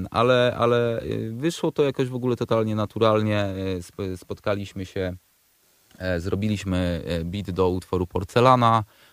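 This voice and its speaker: Nothing echoes, and the sound stays dry and close. Delivery comes at a moderate speed. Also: man, fairly low pitch for a man, ordinary pitch variation. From Poland, Przemyśl area (south-east). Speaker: rapper. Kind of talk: radio interview. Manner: halting, many repeated words.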